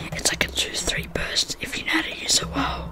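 A man whispering at a moderate pace amid noticeable background noise. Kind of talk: casual gaming commentary with ASMR soft-spoken style. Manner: soft-spoken.

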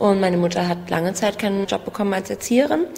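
Noticeable background noise sits behind a woman who talks very fast at a medium pitch. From Germany, Berlin. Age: 20s. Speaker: basic income recipient. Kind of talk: interview testimony.

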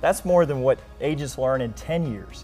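Faint music plays behind a man talking at a moderate pace. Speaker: guest. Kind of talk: interview answer. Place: studio. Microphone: lapel.

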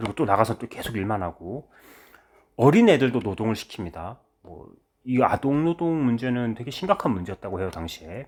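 On a very clean recording with a silent background, a man with an unremarkable speaking voice talks fairly quickly, his intonation lively and his loudness swinging widely. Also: medium pitch for a man. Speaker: history teacher. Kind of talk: lecture. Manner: casual conversational.

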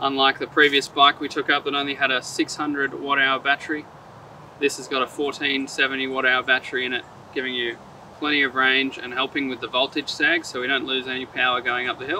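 A man speaks at a fairly quick pace in a monotone, flat intonation. The sound is dry with no echo, over light background noise. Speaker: presenter. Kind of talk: product presentation to camera. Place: forest.

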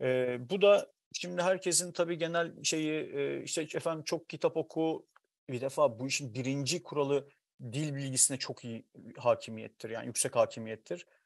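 Against a quiet background, a man with a fairly high voice talks at a moderate pace. His ordinary pitch variation comes through in a dry sound with no echo. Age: 40s. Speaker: writer; guest. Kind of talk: casual chat. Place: home room. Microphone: earbuds.

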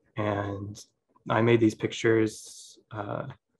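A man speaks with an American accent at a fairly low pitch. His voice is somewhat breathy. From USA. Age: 20s. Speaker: photographer. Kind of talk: lecture. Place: home room. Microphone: video call.

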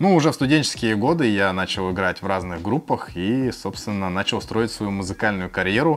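A man talks with lively intonation at a moderate pace. Music plays in the background. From Khabarovsk, Russia. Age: 30s. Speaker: food and music vlogger. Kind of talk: casual Q&A to camera. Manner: friendly, conversational.

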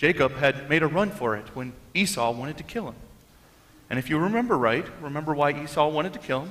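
Pitch swings very widely here. The speaker is a man. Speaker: pastor. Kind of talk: sermon. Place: church. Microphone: headset.

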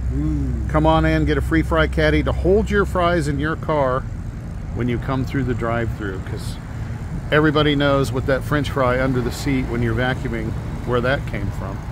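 The sound is dry with no echo, noticeable background noise runs underneath, and the pace is moderate. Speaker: radio host. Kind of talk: radio DJ patter, live remote broadcast at a grand opening. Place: street. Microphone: phone near.

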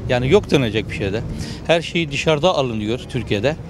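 The voice moves at a moderate pace with very wide pitch swings. The sound is dry with no echo, though there's noticeable background noise. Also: man. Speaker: passer-by interviewee. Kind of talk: street interview. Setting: outdoors. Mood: serious, concerned about economy. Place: street. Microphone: handheld.

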